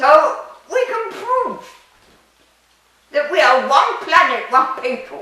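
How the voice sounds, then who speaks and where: Her voice raised and projected, a woman speaks at a fairly slow pace with lively intonation amid audible room echo. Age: 90s. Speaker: metaphysics speaker, retired UN worker. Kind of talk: interview.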